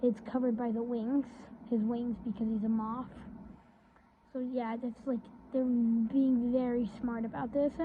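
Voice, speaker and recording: A woman's fairly high voice, flat and monotone, with long, frequent pauses over noticeable background noise. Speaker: YouTuber. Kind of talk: casual video commentary. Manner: halting, many fillers and restarts.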